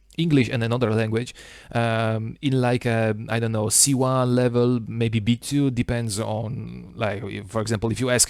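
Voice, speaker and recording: In an Italian accent, a man speaks at medium pitch. His intonation is monotone and flat, at a moderate pace. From Italy. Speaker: small YouTuber. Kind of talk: casual monologue vlog. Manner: halting, many fillers.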